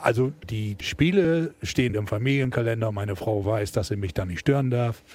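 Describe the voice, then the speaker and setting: Speaking at a moderate pace with hardly any pauses, a man uses lively intonation in a somewhat breathy voice of medium pitch. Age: 60s. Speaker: football fan, shipping businessman. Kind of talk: casual interview. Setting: in the stadium.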